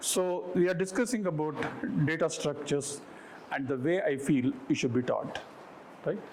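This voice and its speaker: With lively intonation and very even loudness, a man with a fairly high pitch leaves long, frequent pauses amid audible room echo. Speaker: professor. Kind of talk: lecture. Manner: fast.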